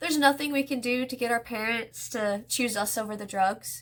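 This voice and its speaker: A woman speaks at a fairly slow pace. Her voice is high, with ordinary pitch variation. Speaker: vlogger sharing personal story. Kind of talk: personal testimony.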